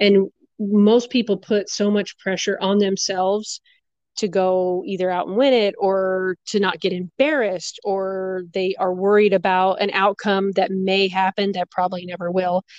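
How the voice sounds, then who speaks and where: Recorded dry and close with no echo against a quiet background, a woman with an American accent has an ordinary speaking voice, speaking at a moderate pace and medium pitch with fairly even intonation. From Arizona. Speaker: professional rodeo barrel racer. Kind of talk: interview.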